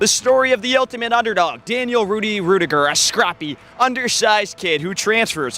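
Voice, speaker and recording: Over noticeable background noise, a man with a high pitch projects a raised voice at a fairly quick pace, his intonation lively and hardly any pauses between words. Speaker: student broadcaster. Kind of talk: news reporter package narration.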